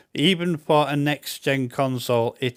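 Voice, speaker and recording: A man with a Yorkshire accent talks at a fairly slow pace with ordinary pitch variation, in a dry, close sound with no echo. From Yorkshire, northern England. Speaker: gaming YouTuber. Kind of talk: game review. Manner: casual, chatty.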